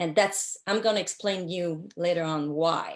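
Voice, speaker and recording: A woman speaks with a French accent at a very slow pace. Her voice is fairly low, and her intonation is fairly even. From Quebec City, Canada. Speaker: social worker and business owner. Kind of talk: interview. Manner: halting, many fillers.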